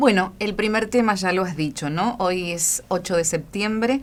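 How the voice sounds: A woman talks at a moderate pace and medium pitch. Her pitch varies in an ordinary way.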